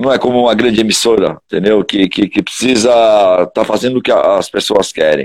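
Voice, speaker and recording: A man's fairly quick delivery, dry and close with no echo. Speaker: heavy metal singer. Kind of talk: casual interview chat.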